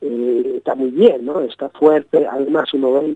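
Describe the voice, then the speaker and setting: The sound is dry and close with no echo as a man speaks at a medium pitch and a fairly slow pace. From Britain. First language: English (speaking Spanish). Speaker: journalist and author. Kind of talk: interview. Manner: halting, many repetitions.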